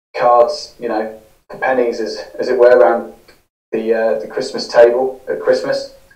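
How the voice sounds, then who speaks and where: Against a quiet background, a man talks at a moderate pace. Audible room echo fills the space. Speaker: interview guest. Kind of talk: interview answer. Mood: reflective, calm. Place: home room.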